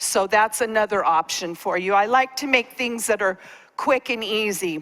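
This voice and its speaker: Her fairly high voice moves at a moderate pace with ordinary pitch variation as this woman speaks. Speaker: cooking class presenter. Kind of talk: cooking demonstration. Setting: stage with audience.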